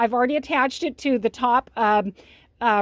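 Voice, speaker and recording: A woman speaks at a high pitch with fairly even intonation. The recording is very clean with a silent background and a dry, close sound with no echo. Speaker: longarm quilter. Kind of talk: tutorial. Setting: quilting studio. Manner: fast; halting.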